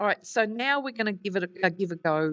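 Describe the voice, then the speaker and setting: Putting on a character voice, a woman mumbles at a very fast pace and a medium pitch. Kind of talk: casual, tutorial. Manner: mumbling.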